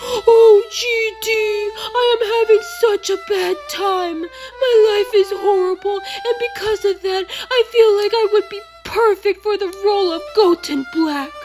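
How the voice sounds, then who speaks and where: With clear music in the background, a woman uses a put-on character voice at an extremely high pitch, speaking at a fairly slow pace with ordinary pitch variation. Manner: whiny, exaggerated.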